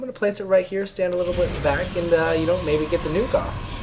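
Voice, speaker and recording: Music plays behind a man whose voice sits high in pitch. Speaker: esports caster. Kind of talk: live commentary. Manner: animated.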